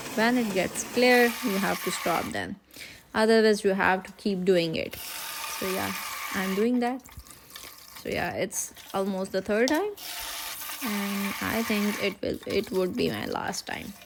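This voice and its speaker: A woman with a non-native accent talks at a fairly slow pace in a medium pitch and fairly even intonation. She leaves long, frequent pauses amid noticeable background noise. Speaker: cooking vlogger. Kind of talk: cooking tutorial voiceover. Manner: slow and steady, hesitant.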